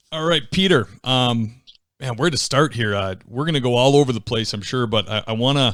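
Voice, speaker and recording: The voice has an American accent and ordinary pitch variation at a fairly quick pace. The recording is very clean, with a silent background. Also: man. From near Boston. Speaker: podcast host. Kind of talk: interview.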